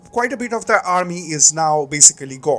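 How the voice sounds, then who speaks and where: A high-pitched man at a moderate pace with lively intonation, over noticeable background noise. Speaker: gaming commentator. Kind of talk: gameplay commentary. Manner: many filler words, uh and um.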